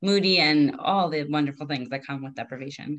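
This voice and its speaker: At a fairly quick pace, a woman talks in a very deep, low pitch. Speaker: podcast host and dietitian. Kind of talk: interview, casual chat.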